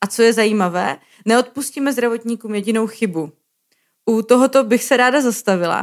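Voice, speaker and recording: Here is a woman with a normal speaking voice at a fairly high pitch. She moves at a fairly quick pace, and her pitch varies in an ordinary way. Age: 30s. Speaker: podcast host, co-founder of a healthcare communication portal. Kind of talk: scripted podcast narration.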